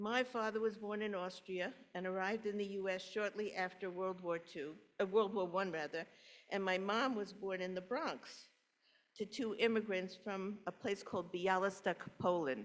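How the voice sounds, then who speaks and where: A woman's medium-pitched voice in a New York accent, at a moderate pace with fairly even intonation. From New York City, Brooklyn. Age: 80s+. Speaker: congregation member telling her life story. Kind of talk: personal testimony talk. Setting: church service, in person and online.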